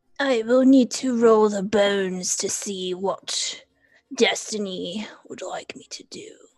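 A put-on character voice at a fairly slow pace. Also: female-sounding voice, fairly high pitch for a woman. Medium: actual play. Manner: blunt, grandiose.

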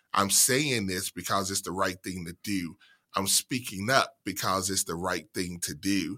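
With an American accent, a man speaks at a fairly slow pace in a bright, sharp tone, his fairly low pitch showing ordinary variation. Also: very clean recording, silent background. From central Mississippi, US South. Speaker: university diversity administrator. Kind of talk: interview.

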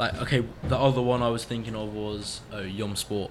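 A man with a British accent speaks at a moderate pace and medium pitch. His intonation is monotone and flat, with noticeable background noise. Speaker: radio host at summer camp. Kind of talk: casual radio show chat. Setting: studio.

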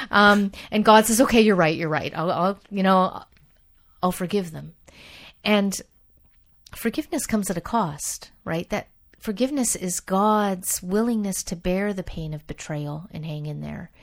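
A normal speaking voice comes through a very clean recording with a silent background, moving at a moderate pace with ordinary pitch variation and big swings in loudness. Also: woman, medium pitch for a woman. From Canada. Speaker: biblical scholar. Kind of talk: interview.

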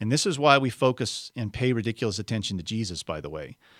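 An unforced reading voice carries the whole clip.

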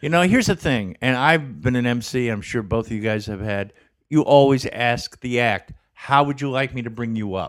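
On a very clean recording with a silent background, an ordinary speaking voice carries ordinary pitch variation. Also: man, medium pitch for a man. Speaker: comedian. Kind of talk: casual chat. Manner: joking, quick-witted.

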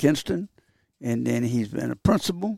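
This man has a Southern US accent and a dark, mellow tone. The recording is very clean, with a silent background. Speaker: retired baseball coach, hall of famer. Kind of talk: casual chat. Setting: studio.

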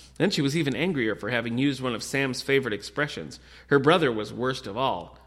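The clip features an unforced reading voice.

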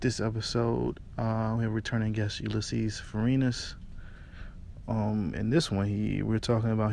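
Here a man talks at a moderate pace. His intonation is monotone and flat. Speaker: podcast host. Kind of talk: casual chat. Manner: casual.

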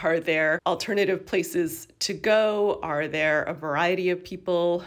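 In an unremarkable speaking voice, a woman talks at a fairly slow pace with hardly any pauses, her pitch fairly low and varying an ordinary amount. The recording is very clean, with a silent background. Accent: Canadian. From Canada, Toronto area. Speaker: geography professor and author. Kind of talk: interview.

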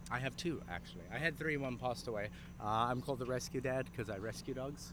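Medium-pitched male voice with vocal fry, a fairly quick pace and ordinary pitch variation. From South Africa. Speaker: dog trainer. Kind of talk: street interview.

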